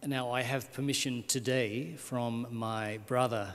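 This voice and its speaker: Very slow and fairly even in intonation, a man speaks at a medium pitch. Room echo is audible. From Australia. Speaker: missionary priest. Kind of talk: conference talk.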